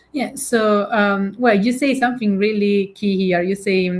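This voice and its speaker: With an Italian accent, a woman talks at a moderate pace. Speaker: keynote speaker and digital director. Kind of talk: podcast interview. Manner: halting, many fillers.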